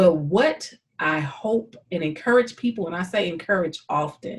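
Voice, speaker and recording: Speaking with a St. Louis accent, a woman uses a medium pitch and lively intonation at a fairly slow pace. Her voice is somewhat breathy. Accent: Saint Louis. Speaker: YouTube host interviewing a friend. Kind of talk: casual conversation. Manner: sing-song.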